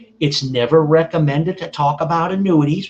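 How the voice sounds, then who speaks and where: A man speaks at a moderate pace with an American accent. His voice is somewhat breathy, with ordinary pitch variation. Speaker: reverse mortgage wholesale specialist. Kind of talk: educational webinar presentation. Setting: video call from home kitchen.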